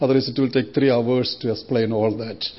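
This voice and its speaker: With an Indian accent, a man talks at a fairly quick pace. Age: 60s. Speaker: missionary preacher. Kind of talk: sermon. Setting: church.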